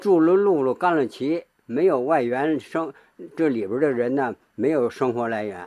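Lively in intonation, a man speaks at a medium pitch with a dark, mellow tone. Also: moderate pace. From Beijing. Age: 80s. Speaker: traditional street-cry performer. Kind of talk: interview testimony.

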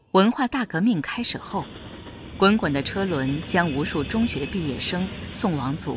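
A woman's voice with very wide pitch swings at a fairly slow pace, with music in the background. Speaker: narrator. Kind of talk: documentary narration.

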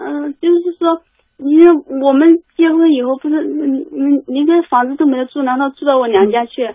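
A woman speaks at a high pitch and a moderate pace, with ordinary pitch variation. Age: 20s. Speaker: caller. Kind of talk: phone call-in advice chat. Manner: halting.

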